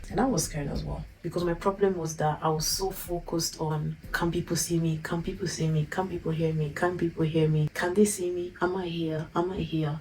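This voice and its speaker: A woman's fairly low voice with an Italian accent, monotone and flat, at a moderate pace. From Italy. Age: 20s. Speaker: YouTuber. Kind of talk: personal vlog.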